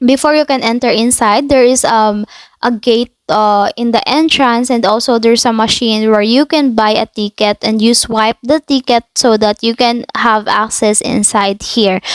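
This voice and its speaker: A woman speaks at a moderate pace with hardly any pauses, her fairly high pitch, very even loudness and fairly even intonation caught in a dry, close sound with no echo. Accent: Filipino. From Philippines. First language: Filipino. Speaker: travel vlogger. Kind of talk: impromptu voiceover narration. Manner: halting, many fillers.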